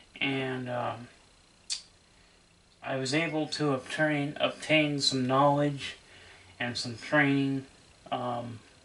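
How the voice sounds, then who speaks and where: The speech comes at a very slow pace with long, frequent pauses and noticeable background noise. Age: 30s. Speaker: VCR repair hobbyist and collector. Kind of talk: casual tutorial video. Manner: hesitant, with many fillers.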